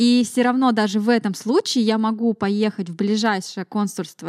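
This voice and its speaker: Recorded with a dry, close sound and no echo, a woman with a normal speaking voice talks at a moderate pace and a fairly high pitch. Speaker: podcast host. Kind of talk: casual interview chat.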